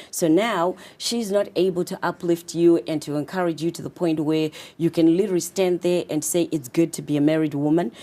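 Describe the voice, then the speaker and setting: A woman's fairly low, dark and mellow voice with a Zimbabwean accent, fairly even intonation and hardly any pauses, on a very clean recording with a silent background. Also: fairly quick pace. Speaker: confidence coach and author. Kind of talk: interview.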